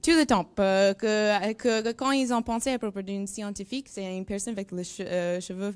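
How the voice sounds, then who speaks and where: A woman with a strong non-native accent speaks at a fairly slow pace, medium-pitched with ordinary variation. The recording is very clean, with a silent background. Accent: strong English-speaking accent in French. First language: English (speaking French). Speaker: neuroscience researcher. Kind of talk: presentation to school pupils. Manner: halting, searching for words.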